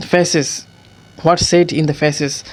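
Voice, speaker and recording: The speech comes at a fairly slow pace, with noticeable background noise behind it. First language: not English. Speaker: English learner. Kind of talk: casual talk to camera. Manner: hesitant, with many fillers.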